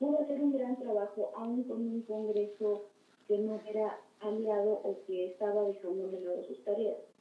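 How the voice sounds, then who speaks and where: A woman talks at a fairly slow pace with ordinary pitch variation. Audible room echo surrounds her voice. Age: 20s. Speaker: political candidate. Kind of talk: interview. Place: studio.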